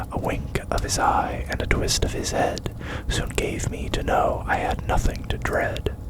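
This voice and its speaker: A whisper at a fairly slow pace, with noticeable background noise. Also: man. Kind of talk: ASMR poetry reading. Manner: whispered, soft-spoken.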